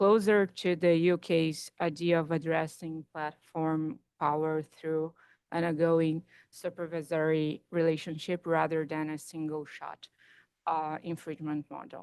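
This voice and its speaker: In a quiet background with a dry, close sound and no echo, a woman with a Portuguese accent speaks fairly slowly in a very deep, low voice, with monotone, flat intonation and big swings in loudness. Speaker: competition regulator official. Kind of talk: panel discussion.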